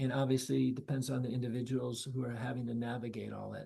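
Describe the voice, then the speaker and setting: At a moderate pace, the speaker sounds somewhat breathy, in an American accent. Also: man. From US South. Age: 70s. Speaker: nonprofit leader for ALS caregiving. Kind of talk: casual talk.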